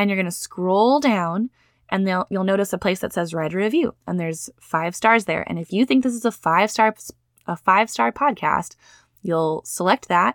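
A woman at medium pitch in an animated tone with lively intonation and a moderate pace, dry and close with no echo, on a very clean recording with a silent background. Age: 30s. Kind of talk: solo podcast monologue.

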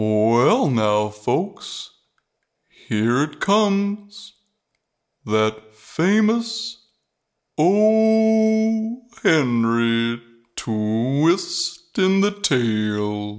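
Very slow speech at a middle pitch, with very wide pitch swings, long, frequent pauses and a very clean recording with a silent background. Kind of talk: cheesy radio announcer. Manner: gushing, rambling, folksy.

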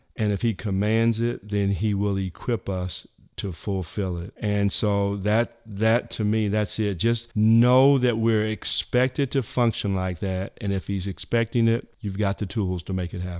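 A man's unremarkable speaking voice, fairly low in pitch, at a fairly slow pace with hardly any pauses, fairly even intonation, and a very clean recording over a silent background. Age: 60s. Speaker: church leader. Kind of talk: casual chat.

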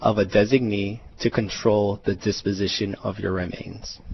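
Over noticeable background noise, a man with a fairly low voice talks at a moderate pace with hardly any pauses. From Hawaii, Pearl City. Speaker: estate planning attorney. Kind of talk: radio interview. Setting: studio.

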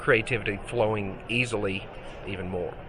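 A man with a Mississippi accent against noticeable background noise. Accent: Southern US (Mississippi). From US South, Mississippi. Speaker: digital artist. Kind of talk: interview. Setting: trade show.

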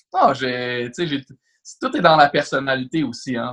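With an ordinary speaking voice, a man at medium pitch talks at a moderate pace with fairly even intonation. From Quebec, Laval. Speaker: real estate broker. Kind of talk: podcast interview.

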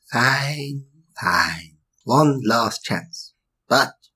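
Putting on a character voice, a man speaks in a raspy tone at medium pitch, his intonation flat and monotone. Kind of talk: comic sketch acting. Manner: prim, eager, then frustrated.

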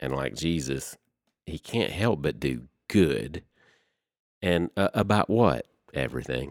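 A man with a Southern US accent speaks at a very slow pace in a very deep, low pitch, with vocal fry and lively intonation. The sound is dry and close with no echo, and the recording is very clean over a silent background. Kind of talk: casual chat, faith discussion.

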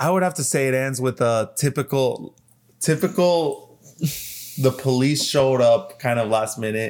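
Here a man has a normal speaking voice at a medium pitch with ordinary pitch variation. He goes at a moderate pace in a very clean recording with a silent background. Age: 20s. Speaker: podcast co-host, movie and TV fan. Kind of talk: casual chat.

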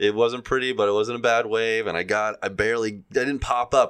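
Over a quiet background, a plain, everyday voice moves at a fairly quick pace. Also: man. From US Gulf Coast. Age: 40s. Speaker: podcast co-host. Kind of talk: casual chat.

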